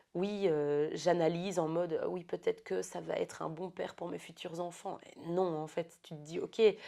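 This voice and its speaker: A woman at a moderate pace, with big swings in loudness and hardly any pauses, against a quiet background. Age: 30s. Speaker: podcast guest. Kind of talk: casual chat.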